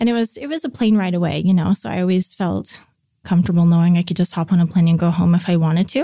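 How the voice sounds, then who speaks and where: The speaker talks at a very fast pace with ordinary pitch variation. The voice is somewhat breathy, with a dark, mellow tone. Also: woman, fairly low pitch for a woman. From Vancouver, Canada. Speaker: baking business owner. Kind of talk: casual interview chat.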